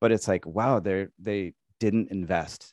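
Here a man speaks with a Midwestern American accent. His pitch is fairly low. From US Midwest, Illinois. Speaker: university English teacher and real estate investor. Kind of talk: interview conversation.

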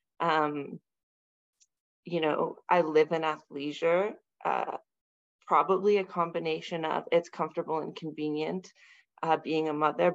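A woman with an unremarkable speaking voice talks at a moderate pace over a quiet background. Her intonation stays fairly even. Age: 40s. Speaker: mother and fitness program client. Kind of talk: casual interview chat.

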